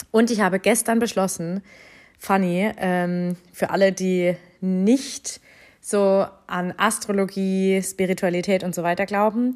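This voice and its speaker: In a very clean recording with a silent background, a woman speaks at medium pitch and a very slow pace. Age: 30s. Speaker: podcast host and life coach. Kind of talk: casual monologue. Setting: at home on sofa under a blanket. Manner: animated.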